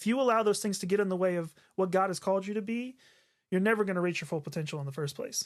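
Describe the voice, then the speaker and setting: With an American accent, a man speaks at a very fast pace in a high voice on a very clean recording with a silent background. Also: ordinary pitch variation. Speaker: podcast co-host, worship leader. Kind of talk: casual chat. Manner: halting, many filler words.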